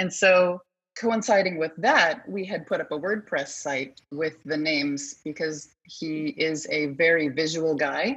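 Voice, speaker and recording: A woman with an American accent speaks at a fairly slow pace in a fairly low pitch, with lively intonation. She has an unremarkable speaking voice. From Colorado. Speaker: entrepreneur. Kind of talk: interview.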